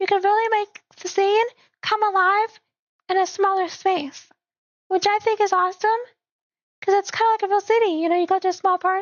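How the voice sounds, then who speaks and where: Her pitch is extremely high, with monotone, flat intonation, and this woman speaks at a moderate pace. Long, frequent pauses break up her speech. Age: 20s. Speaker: gaming streamer. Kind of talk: live gameplay commentary. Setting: live stream from home PC. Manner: casual, rambling.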